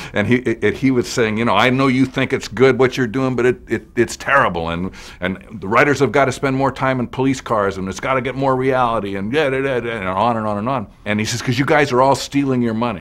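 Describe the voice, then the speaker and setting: Speaking in an American accent, a man races along at a very fast pace with hardly any pauses and ordinary pitch variation. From Los Angeles, US West Coast. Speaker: TV writer and producer. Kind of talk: interview testimony. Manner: halting, repeats words.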